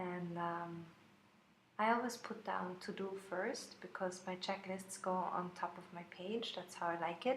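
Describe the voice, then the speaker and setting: In a strong German accent, a woman speaks at a fairly slow pace with medium pitch, and audible room echo surrounds her voice. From Austria, Vienna. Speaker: planner sticker shop owner. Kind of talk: plan-with-me video voiceover. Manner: hesitant, many fillers.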